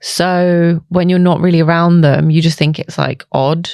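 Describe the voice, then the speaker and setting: A woman with a London accent, a fairly low pitch, monotone, flat intonation and a fairly slow pace. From England, East London. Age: 30s. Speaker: nurse and skincare clinic founder. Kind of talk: casual chat.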